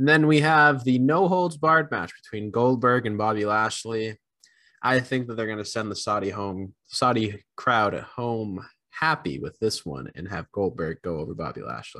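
Against a quiet background, a man with a medium pitch talks at a moderate pace, his tone bright and sharp and his intonation lively. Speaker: wrestling podcast co-host. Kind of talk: casual chat.

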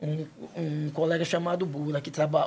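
A man's fairly high voice moves along at a moderate pace. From Penedo, Alagoas, Brazil. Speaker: local resident sharing stories. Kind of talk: casual interview.

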